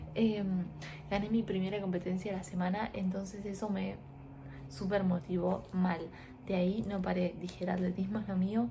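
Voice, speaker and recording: A soft-spoken woman at medium pitch, flat and monotone, at a moderate pace with audible room echo. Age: 20s. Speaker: lifestyle vlogger. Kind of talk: casual vlog storytelling. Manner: quiet, speaking softly.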